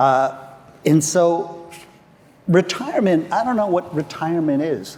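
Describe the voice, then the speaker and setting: Noticeable background noise accompanies a man talking at a fairly slow pace with lively intonation and a high pitch. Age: 70s. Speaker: legal marketing consultant. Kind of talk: panel discussion.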